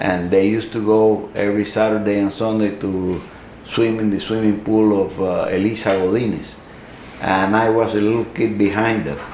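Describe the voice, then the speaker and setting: A man's fairly low voice at a moderate pace, monotone and flat, with audible room echo and noticeable background noise. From Cuba. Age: 70s. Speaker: Cuban exile, newspaper editor. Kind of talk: interview. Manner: halting, many fillers.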